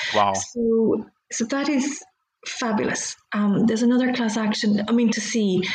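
Speaking with a Dublin accent, a woman keeps a moderate pace and a fairly high pitch. Her loudness stays very even throughout. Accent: Irish (Dublin). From Ireland, Dublin. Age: middle-aged. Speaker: lawyer. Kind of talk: interview. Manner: animated.

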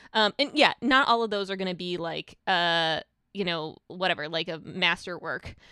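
A woman speaks at a moderate pace in a medium-pitched, bright and sharp voice with ordinary pitch variation. The recording is very clean and dry, close with no echo, and the background silent. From immigrant to the US. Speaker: journalist and author. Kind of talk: interview.

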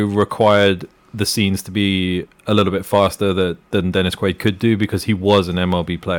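The text is read aloud in a natural voice.

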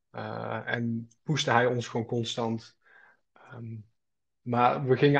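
A man's somewhat breathy, medium-pitched voice, monotone and flat, at a fairly slow pace against a quiet background. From North Brabant, Netherlands (Schaijk). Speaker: student entrepreneur. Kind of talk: casual interview.

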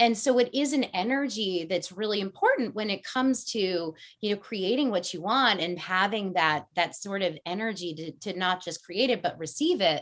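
A woman at a medium pitch talks with lively intonation and hardly any pauses. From US Northeast, Connecticut (Fairfield County). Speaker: energy coach. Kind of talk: casual interview. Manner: fast, with many fillers.

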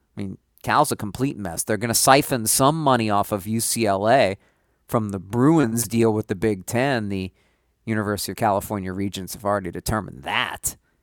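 With a plain, everyday voice, a man talks at a fairly quick pace and fairly low pitch, with ordinary pitch variation and a dry, close sound with no echo. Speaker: sports radio host. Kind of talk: sports talk radio monologue, with breaks and callers. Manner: fluent, upbeat radio patter.

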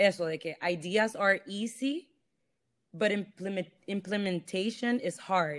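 A woman of medium pitch speaks in a plain, everyday voice with fairly even intonation. The recording is very clean, with a silent background. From Honduras. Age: 20s. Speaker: fashion blogger and stylist. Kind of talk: casual interview chat.

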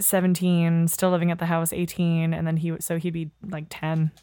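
Fairly low in pitch, a woman talks at a moderate pace. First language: French. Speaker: actor and teacher. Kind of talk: casual chat. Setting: studio, playing a video game while talking.

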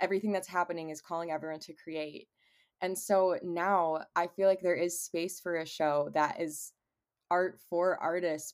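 In a very clean recording with a silent background, a woman with an American accent speaks at a moderate pace in a fairly low, monotone, flat delivery. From Cleveland, Ohio. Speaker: singer-songwriter. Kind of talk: casual interview.

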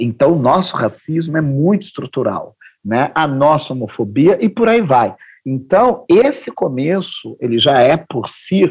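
Speech comes at a fairly slow pace with lively intonation. The voice has a somewhat breathy quality. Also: man. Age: 50s. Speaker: anthropology professor and diversity consultant. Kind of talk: podcast interview.

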